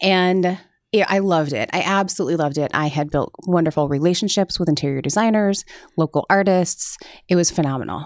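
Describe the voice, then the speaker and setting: A woman with an American accent speaks fairly quickly in a plain, everyday voice, fairly low in pitch with ordinary pitch variation. The recording is very clean, with a silent background. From Iowa, Cedar Rapids area. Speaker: resiliency coach. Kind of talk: casual chat.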